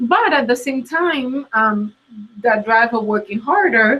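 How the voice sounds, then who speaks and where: A woman's fairly high voice with a strong Latin American Spanish accent, at a fairly slow pace with ordinary pitch variation. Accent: thick Latin American Spanish. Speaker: career coach. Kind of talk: interview. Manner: hesitant, many fillers.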